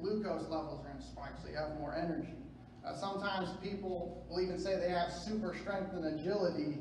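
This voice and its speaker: A man with a high pitch and fairly even intonation at a fairly quick pace, with audible room echo and light background noise. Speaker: preacher. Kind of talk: sermon. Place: church.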